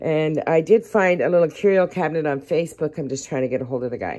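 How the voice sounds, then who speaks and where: A woman's voice at a fairly quick pace, with ordinary pitch variation. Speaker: home vlogger. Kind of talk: casual vlog chat. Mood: cheerful, relaxed. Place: kitchen. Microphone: phone near.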